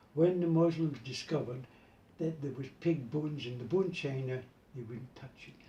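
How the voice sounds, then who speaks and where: The voice is somewhat breathy, with a Glasgow accent and ordinary pitch variation. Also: man. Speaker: button maker. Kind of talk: casual interview.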